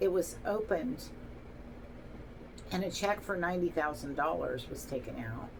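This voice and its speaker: A woman with lively intonation at a fairly slow pace, amid audible room echo and noticeable background noise. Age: 60s. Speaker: vlogger telling personal story. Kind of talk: personal testimony monologue. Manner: halting, with fillers.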